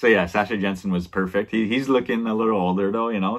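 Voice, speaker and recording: A man with ordinary pitch variation against a quiet background. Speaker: film reviewer. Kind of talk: casual vlog chat. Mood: relaxed, laughing at times. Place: home room. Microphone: webcam.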